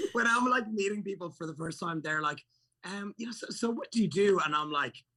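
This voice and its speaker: A man with an Irish accent speaks at a fairly quick pace in a raised, projected voice, his high pitch moving with lively intonation. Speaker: fitness entrepreneur and YouTuber. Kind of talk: casual chat. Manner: animated.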